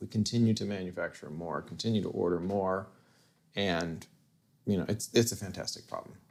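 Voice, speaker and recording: With an American accent and vocal fry, a man talks fairly quickly at a very deep, low pitch with ordinary pitch variation. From US Southwest, Tucson Arizona. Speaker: guitar pedal company founder. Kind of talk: casual interview chat.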